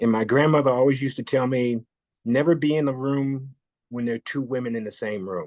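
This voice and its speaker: A man speaks at a fairly quick pace in an ordinary speaking voice, medium in pitch, against a quiet background. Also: ordinary pitch variation. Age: 60s. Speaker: photographer. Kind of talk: casual chat.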